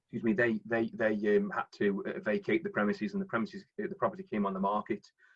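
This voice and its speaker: A man with a Staffordshire accent talks at a very fast pace, his high voice swinging very widely in pitch. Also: hardly any pauses. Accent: Stoke-on-Trent (Potteries). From Stoke-on-Trent, English Midlands. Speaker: property investor and finance broker. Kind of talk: presentation on live webinar. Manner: halting, many fillers and repetitions.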